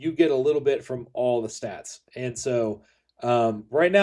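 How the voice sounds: Quiet background behind a natural reading voice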